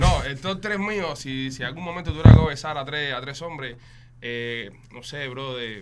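The speech moves at a moderate pace with ordinary pitch variation and big swings in loudness. Audible room echo and noticeable background noise are present. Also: man. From Cuba. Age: 30s. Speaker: podcast host. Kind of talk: casual chat.

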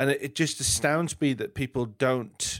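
A man with an English accent speaks at a moderate pace with ordinary pitch variation. The recording is very clean, the background silent. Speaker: podcast host. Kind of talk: interview.

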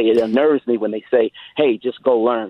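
A man with an unremarkable speaking voice, medium in pitch, at a fairly quick pace. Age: 40s. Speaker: steel mill bricklayer. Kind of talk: call-in. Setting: phone call.

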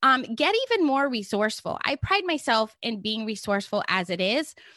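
A woman's animated voice, fairly high in pitch and bright and sharp in tone, with a dry, close sound, no echo, and a quiet background. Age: 50s. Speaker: podcast host and online marketing coach. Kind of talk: solo podcast monologue.

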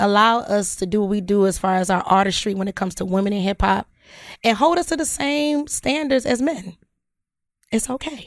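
On a very clean recording with a silent background, a woman with an unremarkable speaking voice talks at a fairly quick pace. Her intonation is lively. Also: medium pitch for a woman. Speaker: podcast host. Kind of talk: casual chat.

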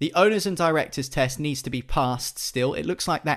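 A man in a plain, everyday voice at a moderate pace, ordinary pitch variation, quiet background. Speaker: podcast host. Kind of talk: casual chat.

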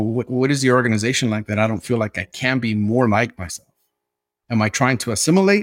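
Speaking at a very fast pace in a Mexican accent, a man is heard in a dry, close sound with no echo. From South Central Los Angeles. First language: Nahuatl. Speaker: diversity consultant and Navy veteran. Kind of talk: interview.

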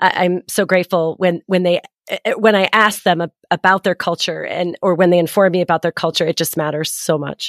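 A woman with a fairly low pitch speaks fairly quickly in a flat monotone, barely pausing, her dry, close sound free of echo on a very clean recording with a silent background. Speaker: podcast host and parent coach. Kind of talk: casual interview conversation.

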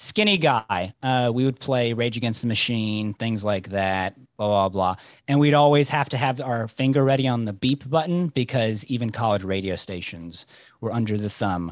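A man with a medium pitch talks in a plain, everyday voice. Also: ordinary pitch variation, moderate pace. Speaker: co-host of the panel. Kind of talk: casual chat.

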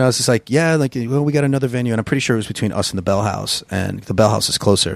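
A man at medium pitch with ordinary pitch variation and an American accent, talking at a very fast pace. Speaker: musician and music venue owner. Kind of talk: casual interview. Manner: halting, many fillers and restarts.

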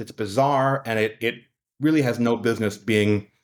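Fairly quick pace and ordinary pitch variation on a very clean recording with a silent background. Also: man. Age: 20s. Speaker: flag enthusiast and political activist. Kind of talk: interview. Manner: hesitant, many fillers.

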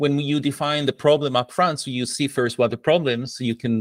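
Delivered at a fairly quick pace with ordinary pitch variation, the voice has an Israeli accent and a dry, close sound with no echo. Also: man. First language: Hebrew. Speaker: product coach. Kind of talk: casual interview.

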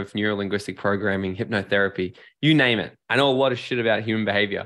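A man with an Australian accent and a medium pitch speaks at a very fast pace. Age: 30s. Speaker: life and business strategist. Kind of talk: casual interview.

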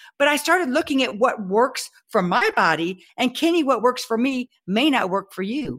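Hardly pausing at all, a woman in a Texan accent speaks at a high pitch and a moderate pace with very wide pitch swings. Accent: Texan Southern US. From Texas. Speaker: health speaker and personal trainer. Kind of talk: interview.

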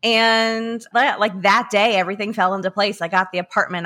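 Recorded very cleanly with a silent background, a woman with an American accent speaks at a moderate pace in a bright, sharp tone with ordinary pitch variation. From US South, small country town. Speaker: magazine editor and podcast host. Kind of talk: casual interview.

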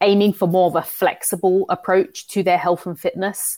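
A woman with a London accent is heard on a very clean recording with a silent background. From London, England. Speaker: fitness coach and entrepreneur. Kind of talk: casual interview chat.

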